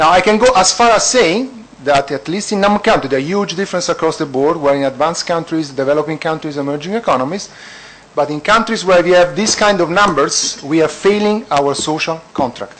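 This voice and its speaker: A man with an Italian accent talks at a fairly quick pace and a high pitch, with lively intonation. Noticeable background noise is present. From Italy. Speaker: economist at an international organization. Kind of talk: panel discussion. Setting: conference panel.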